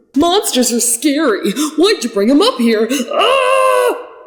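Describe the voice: A woman uses a put-on character voice pitched high with big pitch swings. She speaks at a slow pace.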